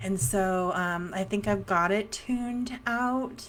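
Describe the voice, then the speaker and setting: A soft-spoken woman's voice at medium pitch. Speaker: psychic medium. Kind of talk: casual livestream chat. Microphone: new mic being tested.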